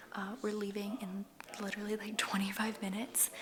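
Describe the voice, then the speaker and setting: The voice is quiet and moves at a moderate pace. Background noise is noticeable. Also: woman. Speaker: lifestyle vlogger. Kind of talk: casual vlog. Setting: at home, new apartment. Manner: hushed, quiet.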